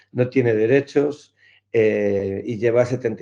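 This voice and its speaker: A man's medium-pitched voice with a dark, mellow tone at a fairly slow pace. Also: quiet background. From Galicia, Spain. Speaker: clown and NGO founder. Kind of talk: interview answer.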